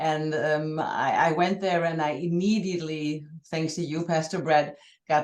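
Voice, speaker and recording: A woman speaks at a moderate pace with fairly even intonation. Her pitch is very deep and low. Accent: German. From Germany. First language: German. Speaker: journalist and church member. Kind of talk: casual conversation. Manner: halting, repeating words.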